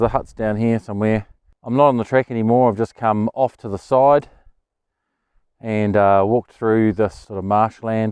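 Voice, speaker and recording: A man in a New Zealand accent speaks with monotone, flat intonation, the sound dry and close with no echo over a quiet background. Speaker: hiking vlogger. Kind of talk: outdoor vlog narration. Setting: outdoors. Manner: hesitant, many fillers.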